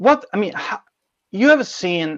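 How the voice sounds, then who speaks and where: With an Italian accent, a man speaks using lively intonation. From Italy. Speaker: podcast host. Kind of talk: interview.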